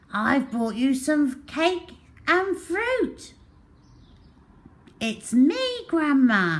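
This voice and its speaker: A put-on character voice, high and growling. It moves at a very slow pace with long, frequent pauses. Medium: read story. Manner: sly, falsely sweet.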